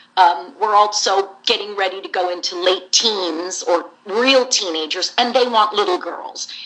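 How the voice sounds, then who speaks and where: Against noticeable background noise, a woman with an American accent talks at a fairly slow pace with hardly any pauses. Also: medium pitch for a woman, ordinary pitch variation. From US West Coast, San Jose, California. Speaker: voice actress. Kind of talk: interview. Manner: animated.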